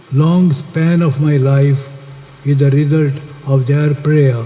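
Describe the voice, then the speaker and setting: Against noticeable background noise, a man speaks very slowly in a monotone, flat way. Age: 80s+. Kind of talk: public speech.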